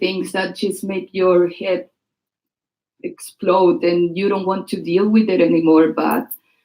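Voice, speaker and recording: This woman speaks with a strong Chilean accent at a medium pitch. Her pace is fairly slow. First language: Spanish. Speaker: writer and performer. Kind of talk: speech before a reading. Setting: stage with audience. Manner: halting.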